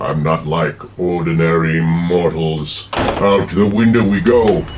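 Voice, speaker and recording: A man uses a put-on character voice with a very deep, low pitch at a fairly slow pace. Clear background noise is audible. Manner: menacing, theatrical.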